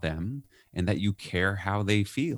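Speaking with an American accent, a man uses an ordinary speaking voice, fairly low in pitch, with ordinary pitch variation at a fairly slow pace. The recording is very clean, with a silent background and a dry, close sound with no echo. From New York. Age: 50s. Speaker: leadership author and consultant. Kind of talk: podcast interview.

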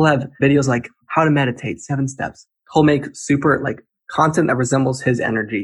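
A man talks at a fairly quick pace in a fairly high pitch. His voice is somewhat breathy, with ordinary pitch variation. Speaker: TikTok creator. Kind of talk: podcast interview. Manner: energetic, hyper; fast.

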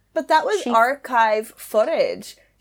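At a very slow pace, a woman talks in a fairly high pitch. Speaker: podcast co-host. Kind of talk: casual chat.

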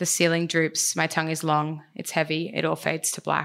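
A woman with vocal fry talks at a fairly quick pace, her fairly low pitch kept flat and monotone in a very clean recording with a silent background. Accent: Australian. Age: 20s. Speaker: storyteller. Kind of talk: storytelling performance.

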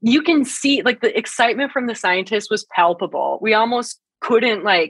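With an ordinary speaking voice and an American accent, a woman speaks at a moderate pace and a fairly high pitch, her intonation lively. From northern Great Plains, US. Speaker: science communicator. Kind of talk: interview.

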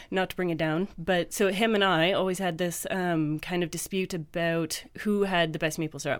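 A woman with a Canadian accent has a normal speaking voice, fairly low in pitch with fairly even intonation. She keeps a moderate pace with hardly any pauses, in a very clean recording with a silent background. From Canada. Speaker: university lecturer. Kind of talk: casual chat. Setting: studio.

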